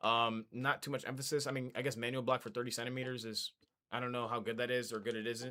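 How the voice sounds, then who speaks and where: A man with a bright, sharp tone and medium pitch speaks at a fairly quick pace in a flat monotone on a very clean recording with a silent background. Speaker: gaming streamer. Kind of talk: casual gameplay talk. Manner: halting, repetitive filler.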